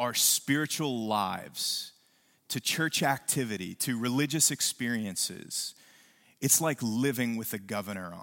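In a very clean recording with a silent background, a man with an unremarkable speaking voice talks at a medium pitch, fairly slowly and with lively intonation. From West Virginia. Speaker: pastor. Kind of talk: sermon. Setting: church.

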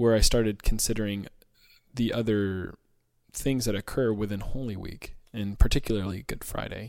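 A man's fairly low voice with fairly even intonation and big swings in loudness. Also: moderate pace. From Georgia, US. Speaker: worship leader and podcast co-host. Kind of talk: casual chat.

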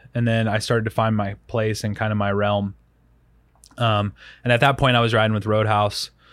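A man with an American accent at a fairly low pitch, monotone and flat in intonation, moderate in pace with long, frequent pauses, on a very clean recording with a silent background. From US South, Rock Hill, South Carolina. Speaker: bike racer and podcaster. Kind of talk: casual chat.

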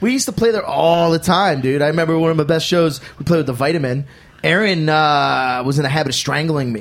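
Someone with an American accent talks at a very fast pace, with ordinary pitch variation. Noticeable background noise runs underneath. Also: man, fairly high pitch for a man. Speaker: rock guitarist. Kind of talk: casual chat. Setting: studio. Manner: animated.

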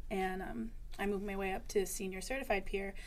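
In an American accent, a woman with an unremarkable speaking voice talks at a medium pitch and a fairly quick pace with fairly even intonation. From Western Massachusetts. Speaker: senior peer specialist, in recovery. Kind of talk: interview.

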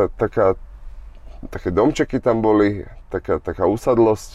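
Holding a moderate pace, a man speaks at medium pitch with a dark, mellow tone. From Slovakia. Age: 30s. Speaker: boxer. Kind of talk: casual chat.

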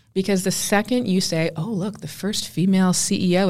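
A woman with a Canadian accent uses a normal speaking voice at medium pitch and a fairly quick pace. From Canada. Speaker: tech executive and entrepreneur. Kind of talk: interview.

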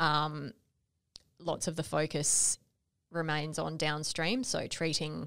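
In a very clean recording with a silent background, a woman with an Australian accent speaks in a very deep, low pitch. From Western Australia. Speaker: podcast co-host. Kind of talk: casual conversational podcast discussion.

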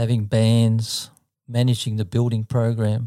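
A man with an Australian accent, medium pitch, a dark, mellow tone and monotone, flat intonation at a fairly slow pace, in dry, close sound with no echo on a very clean recording with a silent background. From Sydney, Australia (Mortdale, southern suburbs). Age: 70s. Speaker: church musician and travelling gospel performer. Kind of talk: casual interview storytelling.

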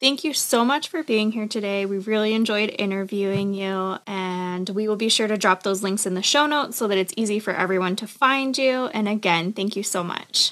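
At a moderate pace with hardly any pauses, a woman talks in a normal speaking voice at a medium pitch with ordinary pitch variation. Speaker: podcast host. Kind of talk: interview.

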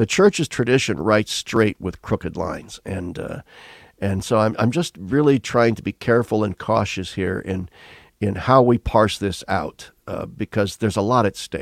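With a dry, close sound, no echo and a silent background in a very clean recording, a man with an unremarkable speaking voice talks at a moderate pace with fairly low pitch and ordinary pitch variation. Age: 60s. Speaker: retired theology professor. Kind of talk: interview conversation.

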